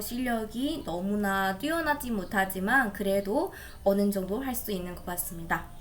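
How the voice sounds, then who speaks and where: With a non-native accent, a woman speaks at a fairly slow pace and with lively intonation, and audible room echo is present. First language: not Korean (speaking Korean). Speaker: Korean language learner. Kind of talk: practice conversation. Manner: halting.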